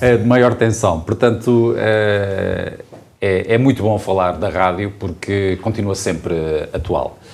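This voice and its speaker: Very slow speech with ordinary pitch variation is heard over noticeable background noise and audible room echo. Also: man, fairly low pitch for a man. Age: young. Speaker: mayor, former radio journalist. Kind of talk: panel conversation. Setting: town hall.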